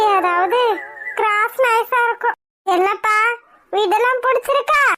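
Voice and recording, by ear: A woman's cartoonish character voice at an extremely high pitch and a very slow pace. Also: ordinary pitch variation.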